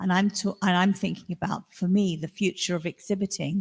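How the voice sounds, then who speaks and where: A woman with a fairly low pitch and vocal fry speaks at a moderate pace, the sound dry and close with no echo. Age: 60s. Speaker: artist. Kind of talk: panel discussion.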